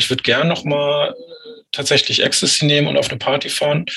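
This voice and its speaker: A man is talking. His pace is moderate. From northern Germany, Lüneburg Heath. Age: 40s. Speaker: author with psychosis experience. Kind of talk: interview about personal story.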